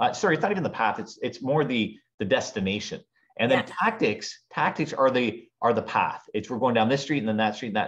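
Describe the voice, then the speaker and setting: Over a quiet background, a man talks fairly quickly. His intonation is lively. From Ontario, Canada. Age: 40s. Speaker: podcast guest, speaker. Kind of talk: casual interview. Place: home room. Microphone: video call.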